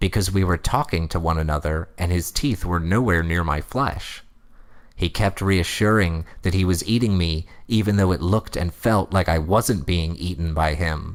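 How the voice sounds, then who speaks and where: A man speaks at a moderate pace in a put-on character voice pitched very deep and low. The recording is very clean, with a silent background. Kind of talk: creepypasta reading. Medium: read story. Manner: deadpan, mock-serious.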